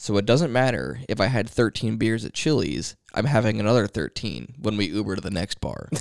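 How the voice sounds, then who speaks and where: With a dry, close sound and no echo, a man talks at a fairly quick pace and fairly low pitch, hardly pausing, his lively intonation edged with vocal fry. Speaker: podcast co-host. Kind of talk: casual chat.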